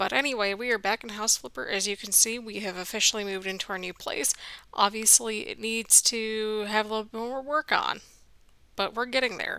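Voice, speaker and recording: At a fairly quick pace, the quiet voice has a bright, sharp tone and ordinary pitch variation. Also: woman, fairly high pitch for a woman. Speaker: gaming youtuber. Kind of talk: let's play commentary. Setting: home at night, apartment building.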